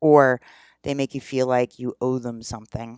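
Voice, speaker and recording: Recorded very cleanly against total silence, the speech goes at a medium speed. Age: 40s. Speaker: podcast host, sex education advice. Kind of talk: solo podcast monologue, educational. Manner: casual, conversational with fillers.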